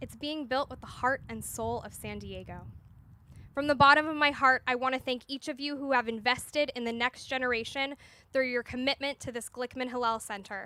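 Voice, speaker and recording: Her raised, projected voice is high-pitched, bright and sharp, as a woman speaks at a fairly quick pace in a monotone, flat intonation with big swings in loudness. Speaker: Hillel director leading groundbreaking ceremony. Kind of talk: ceremonial speech.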